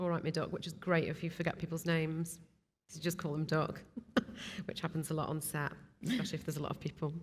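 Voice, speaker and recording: The voice is somewhat breathy and monotone, with flat intonation. It moves at a very fast pace, broken by long, frequent pauses. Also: woman, fairly low pitch for a woman. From Stoke-on-Trent, English Midlands. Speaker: video production company founder. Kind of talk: casual interview. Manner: hesitant, many fillers and repeats.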